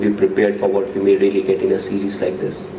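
Audible room echo and light background noise surround a man with fairly low pitch speaking at a fairly quick pace. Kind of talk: press conference answers. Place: meeting room. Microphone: podium.

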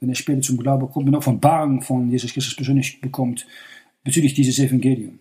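In a Dutch accent, a man speaks at a very fast pace with a dark, mellow, somewhat breathy tone, medium pitch and monotone, flat intonation. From Netherlands. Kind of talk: sermon.

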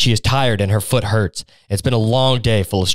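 This is plain reading aloud. The words are read out without anything added.

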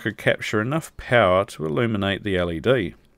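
A man speaks at a moderate pace with lively intonation and fairly low pitch. The recording is very clean, with a silent background. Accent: New Zealand. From New Zealand. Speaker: electronics video creator. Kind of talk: product review tutorial. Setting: outdoors.

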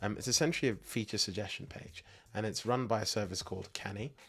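A man talks very fast with vocal fry, his fairly low voice showing ordinary pitch variation. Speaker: tech tutorial YouTuber. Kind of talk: casual talk to camera with screen walkthrough.

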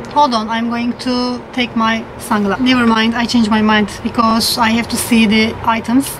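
A woman speaks at a high pitch and a fairly slow pace with a non-native accent. Noticeable background noise is present. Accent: non-native English speaker. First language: not English. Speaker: Zumba fitness instructor. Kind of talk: casual talk to camera, unboxing haul. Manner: hesitant, with fillers. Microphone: phone near.

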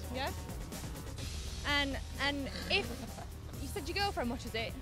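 Clear music plays behind a woman whose voice has a dry sound with no echo. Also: fairly slow pace. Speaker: TV presenter. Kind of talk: street vox pop interviewer, casual. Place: street. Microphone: handheld.

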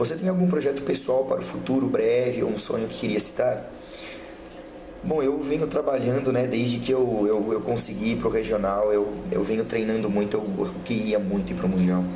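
A man at a moderate pace with lively intonation, over noticeable background noise. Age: 20s. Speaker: CrossFit athlete and PE teacher; PE teacher. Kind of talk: self-interview monologue. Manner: casual, hesitant. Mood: hesitant, earnest. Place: home room. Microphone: webcam.

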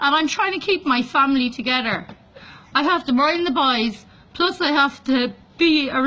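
A woman's raised, projected voice, bright and sharp, with lively intonation at a moderate pace. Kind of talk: emotional vlog plea. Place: home room. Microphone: phone near.

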